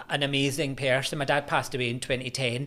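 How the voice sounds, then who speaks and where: A man in a Scottish accent speaks fairly quickly, his fairly high voice bright and sharp in tone. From Scotland, Glasgow. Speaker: university lecturer in religious studies. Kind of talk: podcast interview. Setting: studio.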